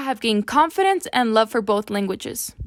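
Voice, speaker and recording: Speaking at a fairly quick pace, a woman talks with a Spanish accent. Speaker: student teacher, scholarship recipient. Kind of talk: prepared speech.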